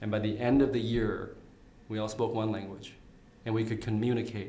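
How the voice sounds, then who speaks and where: In an Upper Midwest accent, a man talks at a medium pitch and a fairly quick pace. His intonation stays monotone and flat, and room echo is audible. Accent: Upper Midwest American. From Minnesota (Saint Cloud), arrived from Vietnam as child. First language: Vietnamese. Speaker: candidate for county attorney. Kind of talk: interview. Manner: frequent fillers and repetitions.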